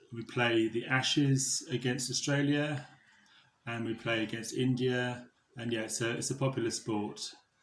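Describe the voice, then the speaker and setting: A man with a southern English accent talks at a moderate pace in a medium pitch. His intonation is monotone and flat. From southeast England (Buckinghamshire). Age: 40s. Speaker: fundraiser. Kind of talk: interview answers.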